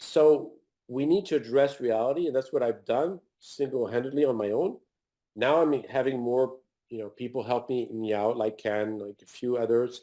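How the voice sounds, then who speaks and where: A man speaks at a moderate pace with a non-native accent. His medium-pitched voice is dark and mellow, with ordinary pitch variation. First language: not English. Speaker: author and health researcher. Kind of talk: interview. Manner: halting, many repetitions.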